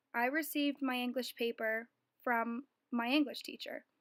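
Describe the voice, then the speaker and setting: A woman's high-pitched voice, fairly even in intonation, sounds dry and close with no echo on a very clean recording with a silent background. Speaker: student. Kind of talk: reading aloud. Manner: formal.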